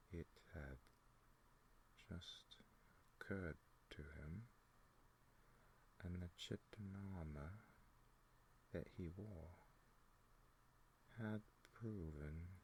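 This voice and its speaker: Soft-spoken and somewhat breathy, a man with a very deep, low pitch talks at a very slow pace, leaving long, frequent pauses. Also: ordinary pitch variation. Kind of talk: ASMR book reading, soft-spoken. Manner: soft-spoken, very slow, hypnotic.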